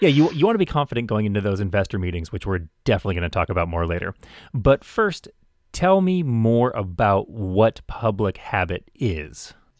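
Here is a man with an ordinary speaking voice, fairly low in pitch, in an American accent, talking at a fairly quick pace with lively intonation. The sound is dry and close with no echo, on a very clean recording with a silent background. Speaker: podcast host, small business owner. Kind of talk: casual interview.

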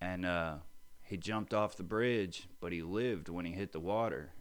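With a very deep, low pitch and ordinary pitch variation, a man speaks at a fairly quick pace amid audible room echo. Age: 30s. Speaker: person in addiction recovery. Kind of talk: interview. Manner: halting.

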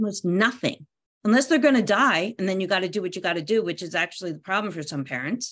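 Someone with an American accent talks at a very fast pace with lively intonation. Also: woman, medium pitch for a woman, quiet background. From US Northeast, near Philadelphia. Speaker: parent coach and parenting columnist. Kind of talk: casual interview. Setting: video call from her bedroom.

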